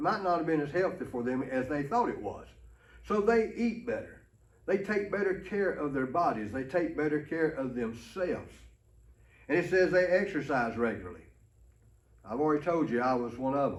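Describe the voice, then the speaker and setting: Speaking with an Alabama accent at a moderate pace, the voice makes very wide pitch swings between long, frequent pauses, with audible room echo. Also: man, fairly high pitch for a man. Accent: Southern US (Alabama). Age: 60s. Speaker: pastor. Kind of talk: ministry training talk. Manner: folksy, conversational.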